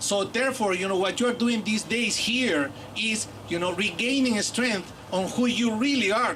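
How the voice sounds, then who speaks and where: A man with a Bolivian accent speaks in a high voice with ordinary pitch variation, with audible room echo and noticeable background noise. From Peru. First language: Aymara. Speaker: professor. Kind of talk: public speech.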